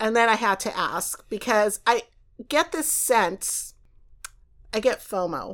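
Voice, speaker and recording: A woman's fairly high voice with lively intonation, very slow and full of long, frequent pauses, on a very clean recording with a silent background. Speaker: podcast host. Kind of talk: casual interview. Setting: in-person recording next to guest. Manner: animated.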